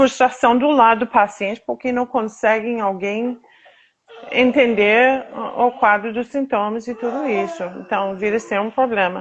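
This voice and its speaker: In an American accent, a woman speaks at a fairly slow pace with a fairly high pitch and fairly even intonation. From United States. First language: English (speaking Portuguese). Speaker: patient advocate, association founder. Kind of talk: interview, personal testimony. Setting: live video stream. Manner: halting, with fillers.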